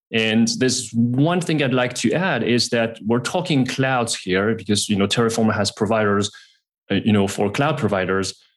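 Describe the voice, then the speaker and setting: A man's plain, everyday voice at a medium pitch, with ordinary pitch variation, very even loudness and a moderate pace, over a quiet background. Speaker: technical guest for sponsor. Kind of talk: sales pitch.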